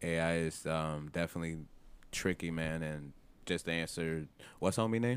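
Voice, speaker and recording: A man with a very deep, low pitch speaks at a moderate pace with ordinary pitch variation and long, frequent pauses, on a very clean recording with a silent background. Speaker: podcast host. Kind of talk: casual banter, reading listener letters.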